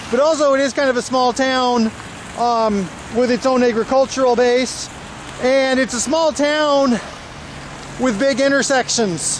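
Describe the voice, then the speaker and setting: Noticeable background noise sits behind a man speaking at an extremely high pitch and fairly slow pace, with long, frequent pauses, fairly even intonation and very even loudness. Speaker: travel vlogger. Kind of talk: walking tour vlog narration. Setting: outdoors in the rain.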